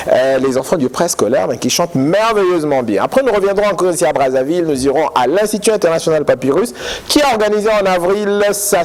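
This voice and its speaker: A man talks in a high pitch with lively intonation and very even loudness. Noticeable background noise runs underneath. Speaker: TV education magazine host. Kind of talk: TV magazine presenting and interview.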